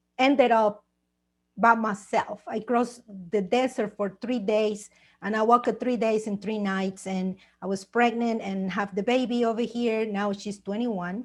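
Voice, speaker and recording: At a moderate pace, a woman with a Mexican accent speaks at a fairly high pitch with fairly even intonation. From Mexico. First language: Spanish. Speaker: author and TV producer. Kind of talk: personal testimony. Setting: video call.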